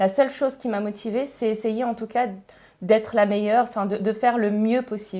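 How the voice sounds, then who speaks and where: A fairly quick, flat, monotone woman's voice, fairly high in pitch and dark, mellow in tone. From northern France, Pas-de-Calais. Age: 30s. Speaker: engineer and education entrepreneur. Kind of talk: podcast interview. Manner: hesitant, many fillers.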